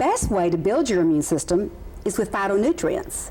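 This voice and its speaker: Her pitch swings very widely around a medium level as this woman speaks. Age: 60s. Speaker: cancer survivor and author. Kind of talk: talk show interview.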